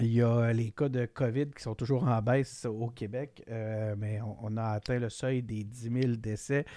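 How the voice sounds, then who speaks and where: In a quiet background with a dry sound and no echo, a man speaks very slowly at a medium pitch. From Quebec. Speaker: political podcast host; podcast host. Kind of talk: casual chat. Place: home room. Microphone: studio mic.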